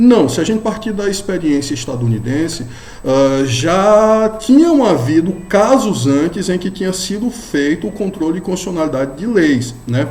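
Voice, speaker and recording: A man with a northeastern Brazilian accent and a high pitch, very wide pitch swings, a moderate pace with hardly any pauses, audible room echo and noticeable background noise. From Brazilian Northeast. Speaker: law professor. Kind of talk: lecture. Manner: casual, with frequent fillers.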